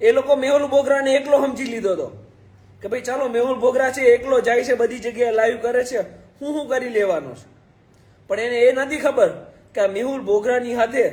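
A man speaks in an extremely high voice with fairly even intonation. His loudness swings a great deal. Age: 20s. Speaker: lawyer and social media activist. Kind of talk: live video address. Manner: impassioned.

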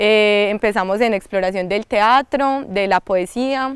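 A woman at a very slow pace, in a dry sound with no echo and a quiet background. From Colombia, rural La Ceja, Antioquia; Antioquia, Colombia. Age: young. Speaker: artist and cultural promoter. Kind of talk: interview. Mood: warm, cheerful. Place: garden. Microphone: lapel.

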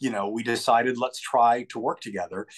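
The man speaks at a fairly quick pace over a quiet background. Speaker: guest. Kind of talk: interview answer. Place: home room. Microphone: video call.

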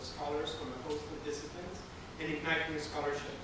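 The talking moves at a fairly quick pace with audible room echo. Loud background noise runs underneath. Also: man. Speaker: museum curator host. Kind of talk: public talk. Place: hall. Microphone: camera far.

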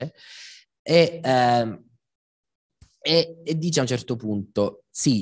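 A man speaks in a medium pitch with ordinary pitch variation. The background is quiet. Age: 30s. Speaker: philosopher and lecturer; speaker. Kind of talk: public talk. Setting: stage with live audience. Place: hall. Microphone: handheld.

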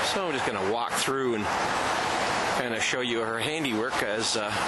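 Over loud background noise, a man speaks at a fairly quick pace, the sound dry with no echo. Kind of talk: casual walkthrough narration. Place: garden. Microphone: phone near.

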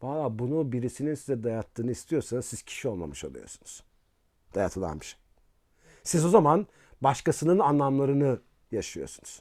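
Over a silent background in a very clean recording, a man at medium pitch uses lively intonation and big swings in loudness. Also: moderate pace. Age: 50s. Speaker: philosophy professor. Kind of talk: casual interview talk. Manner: hesitant, with filler sounds.

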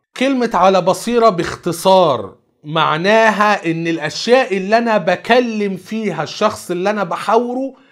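With an Egyptian accent, a man speaks at a high pitch with ordinary pitch variation. The background is quiet. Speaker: Islamic preacher. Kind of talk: religious lecture. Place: studio.

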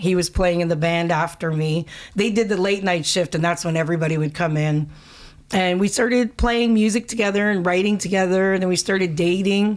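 Against a quiet background, a woman talks at a fairly quick pace with very even loudness and ordinary pitch variation. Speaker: singer. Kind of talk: interview answer. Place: studio. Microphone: studio mic.

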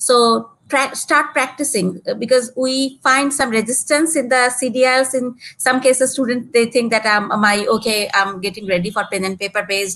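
A woman talks in a high pitch with a Bangladeshi accent. Her tone is bright and sharp. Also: ordinary pitch variation, moderate pace. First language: Bengali. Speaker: exams business development manager; guest. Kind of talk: live webinar Q&A. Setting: video call. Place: home room. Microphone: video call.

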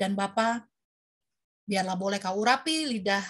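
A woman talks with ordinary pitch variation. Her pace is moderate over a quiet background. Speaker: moderator. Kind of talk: prayer group moderating. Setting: video call. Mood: earnest, devout. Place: home room. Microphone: webcam.

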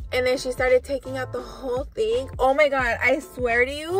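A woman's voice comes through dry with no echo, faint music playing in the background. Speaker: vlogger. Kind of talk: casual vlog storytelling. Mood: upset, dramatic retelling. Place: car. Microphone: phone near.

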